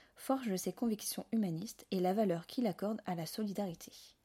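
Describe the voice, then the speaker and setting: On a very clean recording with a silent background, a woman with a dark, mellow tone speaks at medium pitch and a moderate pace, using ordinary pitch variation. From Alsace, France. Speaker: podcast host, interviewer. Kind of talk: scripted introduction; interview.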